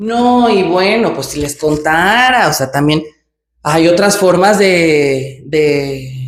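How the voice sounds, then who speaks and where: Speaking at a very slow pace, a woman uses a very deep, low pitch with lively intonation. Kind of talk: casual vlog monologue. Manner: natural, hesitant with fillers.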